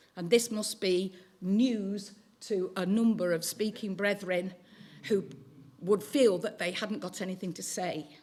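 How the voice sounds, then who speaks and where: This is a normal speaking voice. It belongs to a woman at a medium pitch. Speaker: teacher giving a talk on teaching. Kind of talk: talk to church audience.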